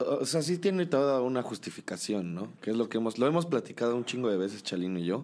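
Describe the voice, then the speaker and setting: A man talks very fast at medium pitch, barely pausing. His pitch swings very widely. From Mexico, Cholula, Puebla. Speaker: musician. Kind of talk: casual chat. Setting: in person, before a show.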